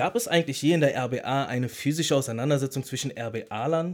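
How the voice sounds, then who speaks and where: A man with a fairly high pitch and an ordinary speaking voice talks at a moderate pace with ordinary pitch variation, in a very clean recording with a silent background. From Berlin. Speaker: podcast co-host, former battle rapper. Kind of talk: casual chat.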